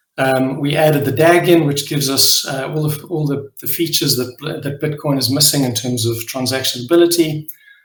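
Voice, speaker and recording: A man speaks with a South African accent and a fairly high pitch. His pace is moderate and his intonation fairly even. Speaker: crypto project leader. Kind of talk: live AMA presentation. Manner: hesitant, many fillers.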